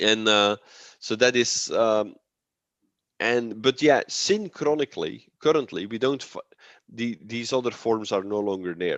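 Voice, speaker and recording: With a Dutch accent, a man speaks at a fairly slow pace and medium pitch, the sound dry and close with no echo against a quiet background. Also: ordinary pitch variation. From Belgium, Antwerp. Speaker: linguist. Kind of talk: academic presentation and Q&A. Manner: halting, many repetitions.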